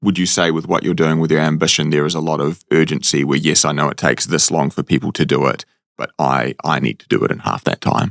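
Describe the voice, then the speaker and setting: A man with a New Zealand accent speaks very fast, with hardly any pauses, in a very deep, low voice with vocal fry. His intonation is fairly even, and the sound is dry and close with no echo. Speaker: comedian, podcast host. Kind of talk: podcast interview question.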